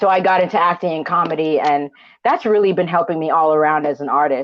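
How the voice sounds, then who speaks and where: Here a woman talks at a very fast pace. Her pitch is fairly low, with ordinary pitch variation. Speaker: artist and comedian. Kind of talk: casual chat. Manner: loud; animated.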